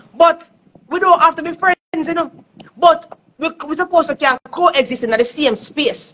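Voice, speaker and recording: In a Jamaican accent, a high-pitched woman talks at a moderate pace with lively intonation and big swings in loudness. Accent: Jamaican Patois-inflected English. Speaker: dancehall artist. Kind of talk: casual chat. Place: home room. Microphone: phone near.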